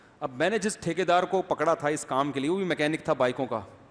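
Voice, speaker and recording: A man talks with a fairly high pitch. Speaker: religious scholar giving a sermon. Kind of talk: Islamic sermon with humorous anecdote. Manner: conversational, storytelling, animated.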